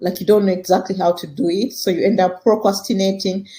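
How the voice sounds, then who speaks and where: A woman's medium-pitched voice with a dark, mellow tone, somewhat breathy, at a fairly quick pace. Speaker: podcast host and career coach. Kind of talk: teaching podcast talk. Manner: fast.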